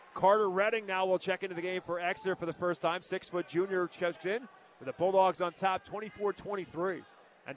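A man with a high pitch speaks in a monotone, flat intonation at a moderate pace, his sound dry and close with no echo, though noticeable background noise remains. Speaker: radio play-by-play announcer. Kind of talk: live commentary. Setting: radio broadcast from gym.

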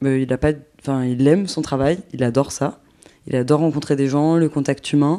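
A woman's very deep, low voice of dark, mellow tone, with ordinary pitch variation, on a very clean recording with a silent background. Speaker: documentary maker. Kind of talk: casual interview; scripted narration.

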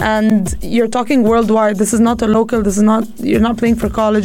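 A woman with an Arabic accent speaks at a very fast pace in a fairly high pitch, her intonation monotone and flat, with noticeable background noise behind her. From Egypt. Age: 20s. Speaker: professional squash player and coach. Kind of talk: radio interview.

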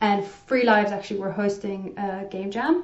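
At a moderate pace, a woman talks with a slight South African accent and ordinary pitch variation. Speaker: game developer. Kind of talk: casual interview.

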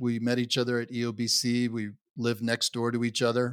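Recorded very cleanly against a silent background, a man speaks with an American accent. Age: 70s. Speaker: veteran, executive coach. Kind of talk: interview, conversational storytelling.

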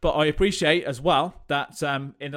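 A man with a West Midlands accent talks at a fairly quick clip in an energetic tone, his voice fairly high, on a very clean recording with a silent background. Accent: English Midlands (Coventry). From England, Coventry. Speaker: fitness coach and podcast host. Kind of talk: solo podcast monologue.

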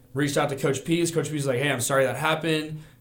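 There is audible room echo. A man talks with an American accent. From Arizona. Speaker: college student and former football player. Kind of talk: casual sports chat.

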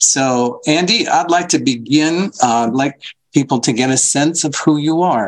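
At a fairly slow pace, a man speaks in a plain, everyday voice, fairly high in pitch with ordinary pitch variation. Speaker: podcast co-host. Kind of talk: casual interview.

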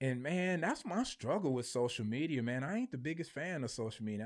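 In an American accent, a man with an unremarkable speaking voice and a medium pitch talks with lively intonation. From Michigan, Flint. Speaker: marketing businessman and beer reviewer. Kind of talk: casual interview chat. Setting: studio.

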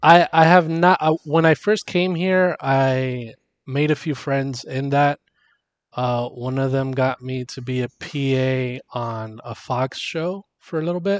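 This man has an unremarkable speaking voice with an American accent, ordinary pitch variation and a fairly slow pace. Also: fairly high pitch for a man. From Miami, Florida, US. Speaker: podcast co-host. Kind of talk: casual chat.

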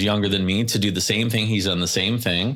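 This is a man with a Californian accent. His pitch sits fairly low. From Southern California (Carlsbad, Oceanside). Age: 40s. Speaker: hospital executive. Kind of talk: interview.

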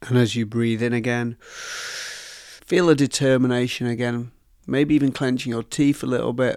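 Recorded very cleanly against a silent background, a man with a plain, everyday voice speaks at medium pitch with fairly even intonation. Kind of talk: guided meditation. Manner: slow, soothing, calm, with soft pauses; gentle, hypnotic, encouraging.

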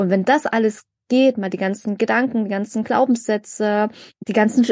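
A woman's plain, everyday voice, fairly high in pitch with ordinary pitch variation, at a moderate pace against a quiet background. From Germany, migrant background. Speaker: podcast co-host. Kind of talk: casual chat.

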